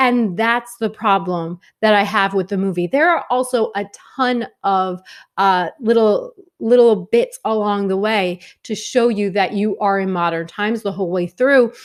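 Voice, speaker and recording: A woman with a New York accent speaks at a moderate pace in an animated tone, her medium pitch showing ordinary variation, on a very clean recording with a silent background. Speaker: film reviewer. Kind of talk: video review monologue.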